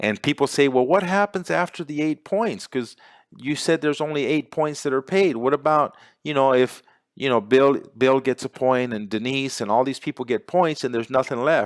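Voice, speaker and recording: Heard in a very clean recording with a silent background, a man with a fairly high pitch speaks in an animated tone at a moderate pace with ordinary pitch variation. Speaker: business opportunity presenter. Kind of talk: sales pitch.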